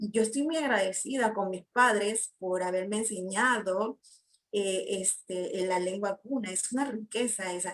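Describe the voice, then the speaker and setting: A woman with a medium pitch talks fairly slowly, her pitch varying in an ordinary way. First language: Guna (Kuna) (speaking Spanish). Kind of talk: panel discussion. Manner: hesitant, many fillers.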